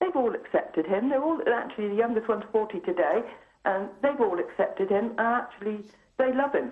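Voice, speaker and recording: A woman with a plain, everyday voice talks at a fairly quick pace, her fairly high pitch carried by lively intonation at very even loudness. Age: 60s. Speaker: caller. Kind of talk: phone-in call. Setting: phone call.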